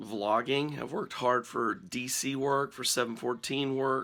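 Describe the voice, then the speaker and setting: A man is talking. His is a normal speaking voice. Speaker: family vlogger and pastor. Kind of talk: casual talk to camera.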